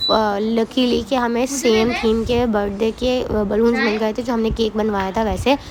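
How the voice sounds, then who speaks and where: A woman's fairly high, flat, monotone voice with hardly any pauses over noticeable background noise. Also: moderate pace. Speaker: vlogger. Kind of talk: vlog voiceover narration.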